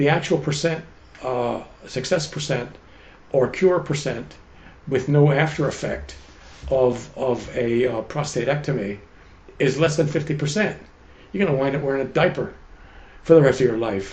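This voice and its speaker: A man's voice is somewhat breathy and fairly high, with ordinary pitch variation. He keeps a moderate pace but pauses long and often. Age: 80s+. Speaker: chemist and health coach. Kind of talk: interview answer.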